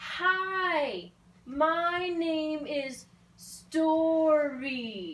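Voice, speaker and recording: The speaker uses a put-on character voice at a high pitch. The delivery is loud. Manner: loud, over-enunciated.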